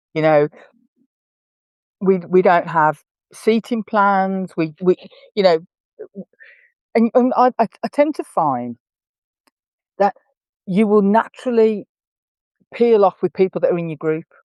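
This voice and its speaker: In an English accent, a woman speaks at a medium pitch with lively intonation, at a fairly slow pace and with long, frequent pauses. The sound is dry and close, with no echo. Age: 60s. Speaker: horse camp organiser and equestrian. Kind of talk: podcast interview.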